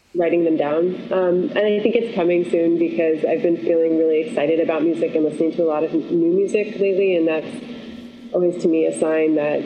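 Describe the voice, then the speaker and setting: A woman with an American accent at a fairly low pitch and fairly quick pace, very even in loudness and with hardly any pauses, over noticeable background noise. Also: ordinary pitch variation. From Syracuse, New York. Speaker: singer-songwriter and voice teacher. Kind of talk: casual interview chat.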